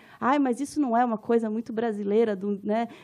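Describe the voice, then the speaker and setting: A woman with a Minas Gerais accent, talking at a very fast pace with ordinary pitch variation. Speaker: anthropologist and professor. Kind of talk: conference lecture. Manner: informal, conversational.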